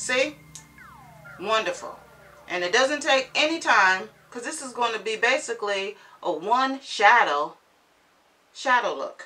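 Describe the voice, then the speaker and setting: A woman's high-pitched voice at a fairly slow pace, with lively intonation, big swings in loudness, long and frequent pauses, and noticeable background noise. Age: 50s. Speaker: beauty vlogger. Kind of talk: makeup tutorial.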